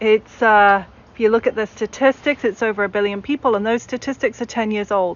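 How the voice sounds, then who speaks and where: A woman speaks with a British accent. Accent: British accent, retained. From English Midlands. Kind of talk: panel talk.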